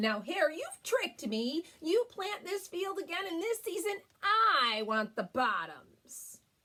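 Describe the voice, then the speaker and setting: In a put-on character voice, a woman talks at a fairly slow pace at an extremely high pitch with very wide pitch swings. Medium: read story. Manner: slow, drowsy.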